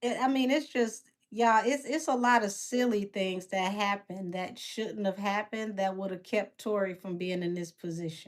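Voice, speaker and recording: With a strong Southern accent, a woman of medium pitch talks at a moderate pace with hardly any pauses and ordinary pitch variation. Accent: heavy Southern. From Detroit, west side. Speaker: tarot reader and live commentator. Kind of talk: casual livestream commentary. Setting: live stream. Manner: animated.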